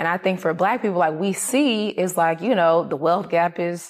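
With an American accent, a woman speaks in a plain, everyday voice at a fairly low pitch, with ordinary pitch variation and a moderate pace. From US South, Atlanta, Georgia. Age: 30s. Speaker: entrepreneur. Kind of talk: interview.

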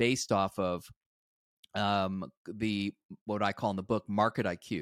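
A man with a plain, everyday voice speaks fairly slowly at a fairly low pitch, on a very clean recording with a silent background and a dry, close sound with no echo. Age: 60s. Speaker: software executive and investor. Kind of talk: interview.

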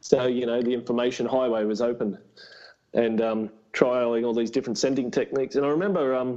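A man talks in an Australian accent at a fairly quick pace. His medium-pitched voice has a dark, mellow tone and fairly even intonation. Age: 20s. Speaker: reptile breeder and tradesman. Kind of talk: casual chat.

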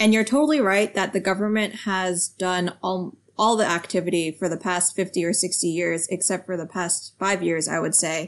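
In an American accent, a woman with an ordinary speaking voice talks at a moderate pace and medium pitch, with ordinary pitch variation and hardly any pauses against a quiet background. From United States. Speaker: science policy researcher. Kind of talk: interview.

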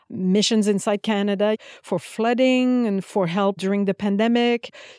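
With a Quebec French accent, a woman speaks fairly slowly in a fairly high voice with a dark, mellow tone and ordinary pitch variation. The recording is very clean and dry, close with no echo, over a silent background. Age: 50s. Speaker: military flute player. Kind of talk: interview.

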